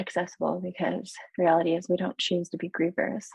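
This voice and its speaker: A woman's somewhat breathy, fairly low voice at a fairly quick pace. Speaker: yoga therapist. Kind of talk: interview. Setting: podcast. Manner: soft-spoken.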